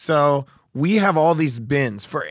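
Energetic and fairly high in pitch, a man with an American accent speaks on a very clean recording with a silent background. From Oregon, US. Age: 40s. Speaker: surfboard shaper. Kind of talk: interview.

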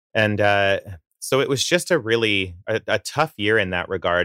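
With a Canadian accent, a man speaks at a fairly slow pace in a fairly low pitch. His tone is bright and sharp, the sound dry and close with no echo. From Southern Alberta, Canada. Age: 30s. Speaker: singer-songwriter. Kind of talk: casual interview. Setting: video call.

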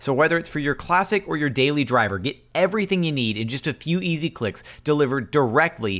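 Over a silent background on a very clean recording, a man with a plain, everyday voice and an American accent speaks at a fairly quick pace in a fairly high pitch with lively intonation. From Houston, Texas. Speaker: podcast host. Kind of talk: interview.

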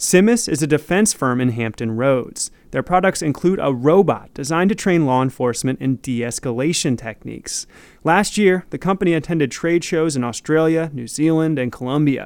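Here is a man with an ordinary speaking voice. He talks at a fairly quick pace with a fairly high pitch. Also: lively intonation. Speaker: radio reporter. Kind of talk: news reading.

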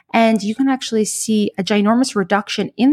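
In a very clean recording with a silent background, a woman with a fairly high pitch sounds somewhat breathy, the sound dry and close with no echo. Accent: American. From New York. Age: 30s. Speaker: cardiologist. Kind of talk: interview.

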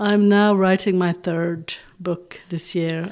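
A woman talks in a monotone, flat intonation with a Dutch accent. The recording is very clean with a silent background. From Belgium (Flanders). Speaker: romance novelist. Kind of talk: interview.

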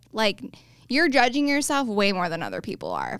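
A woman speaks with lively intonation. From moved around as a military child; calls Colorado home. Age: 20s. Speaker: real estate agent. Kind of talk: casual interview. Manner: mellow.

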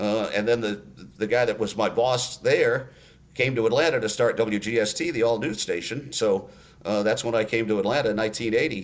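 Medium-pitched man at a moderate pace, ordinary pitch variation, a normal speaking voice. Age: 60s. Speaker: sports radio play-by-play announcer. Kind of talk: casual interview.

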